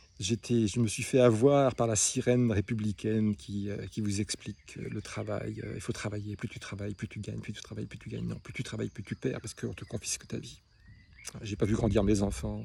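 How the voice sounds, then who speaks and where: A man talks fairly quickly, his loudness swinging widely. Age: 60s. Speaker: small business owner. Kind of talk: personal monologue. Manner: halting; emotional.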